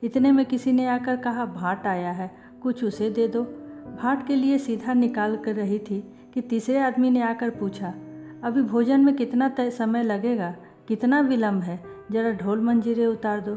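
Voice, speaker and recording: Music plays in the background as a woman talks. Her pitch is fairly high, with ordinary pitch variation. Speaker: audiobook narrator. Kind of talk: audiobook story reading.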